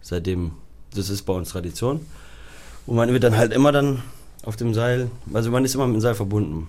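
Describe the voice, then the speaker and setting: With audible room echo, a man talks at a fairly quick pace with long, frequent pauses, medium pitch and ordinary pitch variation. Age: 30s. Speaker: high-wire artist. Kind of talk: interview.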